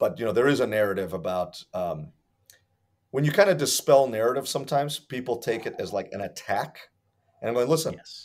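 Talking at a fairly quick pace with an American accent, a man uses lively intonation and big swings in loudness against a quiet background. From Hartford, Connecticut, US; Connecticut. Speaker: martial arts instructor. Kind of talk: interview. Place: home room.

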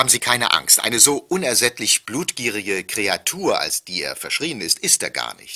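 On a very clean recording with a silent background, a man speaks at a fairly slow pace. The sound is dry and close with no echo. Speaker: former television news anchor. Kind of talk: pre-recorded tour-guide narration played over loudspeakers. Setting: played from tape over loudspeakers in train wagons.

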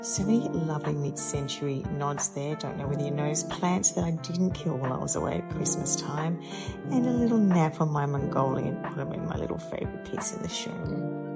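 Over loud music in the background, a woman speaks with hardly any pauses. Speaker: interior stylist. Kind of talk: casual showroom tour to camera. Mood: playful, cheerful. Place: shop. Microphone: phone near.

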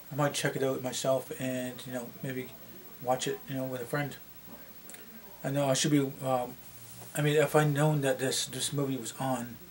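Light background noise sits behind a man speaking with monotone, flat intonation. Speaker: vlogger. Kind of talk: casual vlog chat. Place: home room.

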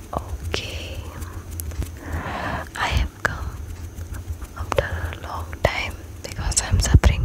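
The sound is dry with no echo. Loud background noise is present. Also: woman. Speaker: ASMR creator. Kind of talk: ASMR makeup role-play with soft whispering and tapping sounds. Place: home room. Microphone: studio mic.

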